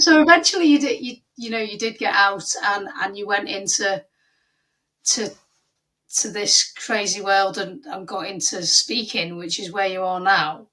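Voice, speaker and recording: A normal speaking voice moves at a moderate pace, with lively intonation and big swings in loudness. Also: woman, medium pitch for a woman. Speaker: podcast host. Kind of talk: podcast interview questions.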